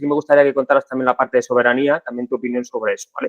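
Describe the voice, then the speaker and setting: Here a man is talking. His pitch variation is ordinary. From Spain, Segovia. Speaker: podcast host. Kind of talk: interview conversation.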